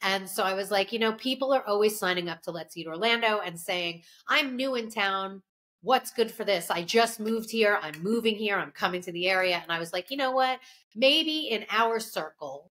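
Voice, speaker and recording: A woman speaks with lively intonation against a quiet background. Her tone is bright and sharp. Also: moderate pace. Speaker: food writer podcast co-host. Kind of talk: casual podcast chat. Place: home room.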